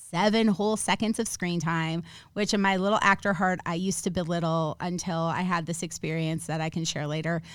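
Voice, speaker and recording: A woman speaks in an ordinary speaking voice with an American accent, fairly low in pitch, with ordinary pitch variation, at a moderate pace, on a very clean recording with a silent background. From Minnesota. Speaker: actor, film producer and author. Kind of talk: casual chat. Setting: studio.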